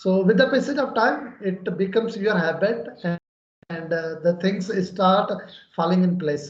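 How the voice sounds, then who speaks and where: With a Pakistani accent, a man talks in a high voice with ordinary pitch variation. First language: Urdu. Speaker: English conversation channel host. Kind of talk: English practice conversation.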